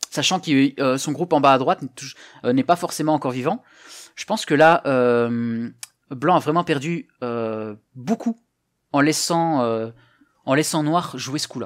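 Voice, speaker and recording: A man speaks at a fairly slow pace with long, frequent pauses. The background is quiet. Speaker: Go teacher and streamer; Go teacher, streamer. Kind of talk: live stream game commentary, workshop. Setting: live stream with chat. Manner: casual, hesitant, friendly. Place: home room. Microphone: headset.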